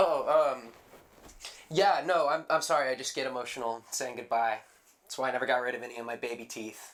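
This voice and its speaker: In a raspy put-on character voice, a man speaks at a medium pitch and a fairly quick pace, with big swings in loudness. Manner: sniffly, tearful.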